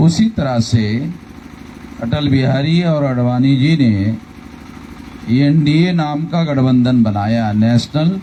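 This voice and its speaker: Over noticeable background noise, a man talks at a fairly high pitch with lively intonation. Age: 60s. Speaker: political leader. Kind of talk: election rally speech.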